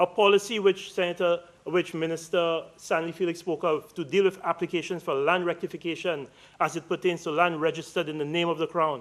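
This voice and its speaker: A man's high-pitched voice, fairly quick, with fairly even intonation. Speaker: politician. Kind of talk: parliamentary speech. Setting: senate chamber. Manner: fast; passionate.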